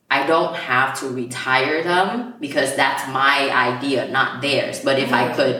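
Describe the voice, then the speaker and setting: With audible room echo and noticeable background noise, a woman speaks in a very deep, low voice with an animated tone. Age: 20s. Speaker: podcast co-host. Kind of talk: casual chat.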